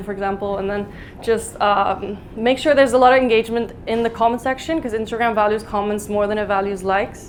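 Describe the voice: A woman's medium-pitched voice at a fast pace, with fairly even intonation.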